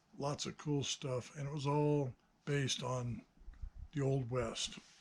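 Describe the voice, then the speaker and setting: A man talks at a fairly slow pace in a somewhat breathy voice. His pitch is medium, with ordinary variation. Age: 60s. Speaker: hobbyist builder and video maker. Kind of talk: casual monologue. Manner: hesitant, many fillers.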